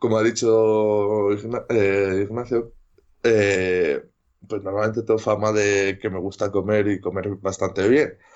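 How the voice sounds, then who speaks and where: Very slowly, a man speaks in a fairly low, monotone, flat voice. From Castile and León, Spain (Medina de Rioseco, Valladolid). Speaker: rugby player. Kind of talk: interview. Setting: remote interview during lockdown at home.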